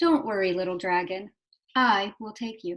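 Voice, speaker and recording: Using a squeaky, put-on character voice at a medium pitch, a woman talks at a moderate pace with lively intonation. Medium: read story. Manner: nervous, stammering.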